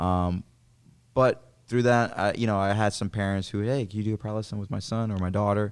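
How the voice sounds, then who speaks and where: In a plain, everyday voice, a man speaks fairly quickly at a fairly low pitch with fairly even intonation, recorded very cleanly against a silent background. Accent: American. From New York City. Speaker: jiu-jitsu champion. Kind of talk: casual chat.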